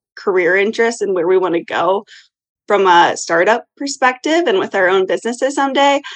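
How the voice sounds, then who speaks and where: Her voice is an ordinary speaking voice at a medium pitch. The woman keeps to a moderate pace. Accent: American. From US Midwest, Iowa. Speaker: brand consultant and business co-founder. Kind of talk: casual interview chat.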